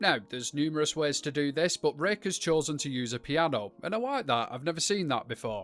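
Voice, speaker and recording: Music plays in the background as the speaker talks with a British accent and lively intonation. The pace is fairly quick, with hardly any pauses. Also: man, fairly high pitch for a man. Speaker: gaming YouTuber. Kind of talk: game showcase commentary. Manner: animated.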